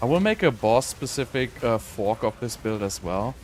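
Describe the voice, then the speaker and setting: A man speaks over noticeable background noise. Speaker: video game streamer. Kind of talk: live gameplay commentary. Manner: casual, hesitant with fillers.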